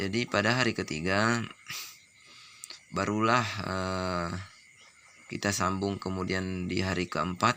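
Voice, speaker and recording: A man talks at a fairly slow pace. His very deep, low voice stays monotone and flat. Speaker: duck breeder. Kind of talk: tutorial.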